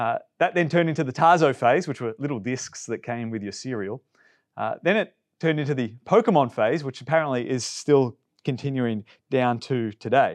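Speaking with an Australian accent, this voice moves at a moderate pace with ordinary pitch variation. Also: man, medium pitch for a man, quiet background. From Melbourne, Australia. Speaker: pastor. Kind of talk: sermon.

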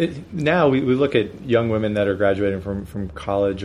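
This man talks at a fairly quick pace with a Pennsylvania accent. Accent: Pennsylvania, northern US. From Erie, Pennsylvania. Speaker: interviewer. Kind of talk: interview conversation. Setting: in San Francisco, in person. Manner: halting, with many fillers.

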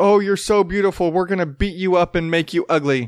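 Using a put-on character voice, a man talks at a fairly quick pace and a high pitch, with very even loudness. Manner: mocking.

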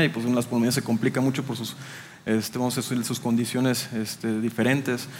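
Noticeable background noise accompanies a man speaking at a fairly quick pace in a monotone, flat delivery. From Chiapas, Mexico (Tapachula). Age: 30s. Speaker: business executive. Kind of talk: interview testimony.

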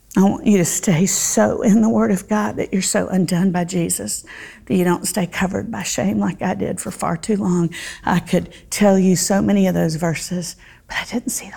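A woman with a Southern US accent speaks in a fairly low pitch, her intonation lively. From US South, Central Florida. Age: 50s. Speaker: Bible teacher. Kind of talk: Bible study teaching. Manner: animated.

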